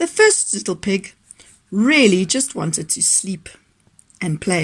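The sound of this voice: With lively intonation, the clip offers an unforced reading voice.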